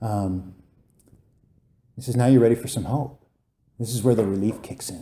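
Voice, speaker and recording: This man speaks at a fairly quick pace in a medium pitch, with an animated tone. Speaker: recovery meeting speaker. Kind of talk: testimony. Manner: loud.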